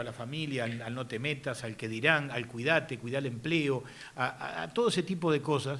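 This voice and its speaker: The tone is bright and sharp. The speaker has a Uruguayan accent. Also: man. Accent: Rioplatense Spanish (Uruguayan). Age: 60s. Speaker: politician. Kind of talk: speech. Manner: halting, many fillers.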